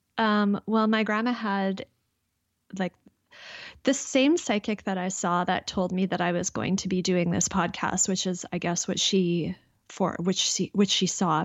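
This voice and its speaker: With a Canadian accent, a woman speaks at a fairly slow pace. Her voice is medium in pitch, with fairly even intonation. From Canada. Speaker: intuitive guide and clairvoyant. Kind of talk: casual interview chat.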